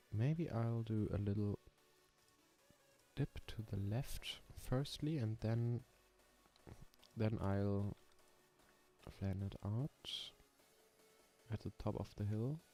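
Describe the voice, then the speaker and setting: With music playing behind him, a man with a slight German accent speaks at a very slow pace and a medium pitch, with ordinary pitch variation and long, frequent pauses. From Germany. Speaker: coaster sim streamer. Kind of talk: casual live stream chat. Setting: live stream.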